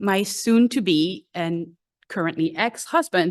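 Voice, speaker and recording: A woman with a French accent, very wide pitch swings and a quiet background. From France. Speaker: congregation member. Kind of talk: personal testimony.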